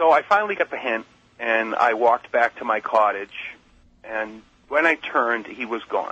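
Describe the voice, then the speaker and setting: The speaker has a plain, everyday voice, ordinary pitch variation and a moderate pace. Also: man, medium pitch for a man. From Massachusetts. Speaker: caller. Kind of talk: testimony. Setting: phone call.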